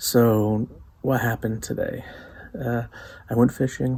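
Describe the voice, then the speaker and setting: Quiet and monotone, a man speaks with flat intonation. His pitch is medium and his pace moderate. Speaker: outdoors and cooking vlogger. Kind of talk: casual vlog. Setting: at home at night.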